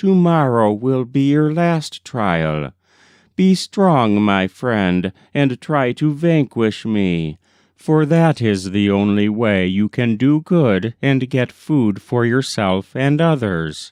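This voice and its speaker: A man puts on a character voice at a medium pitch, speaking at a very slow pace. The background is quiet. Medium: read story. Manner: gentle, solemn, instructive.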